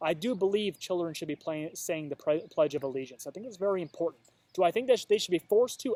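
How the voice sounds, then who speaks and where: A man with a high voice and an American accent speaks with lively intonation in a dry, close sound with no echo, on a very clean recording with a silent background. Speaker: vlogger. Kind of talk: casual vlog monologue. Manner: halting, stuttering.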